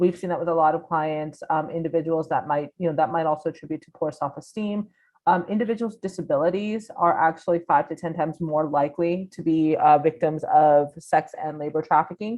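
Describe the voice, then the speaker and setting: This woman's voice sits fairly low, with ordinary pitch variation and big swings in loudness. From grew up on international military bases, then US. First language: not English, multiple other languages. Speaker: anti-trafficking program staff presenter. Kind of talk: webinar presentation.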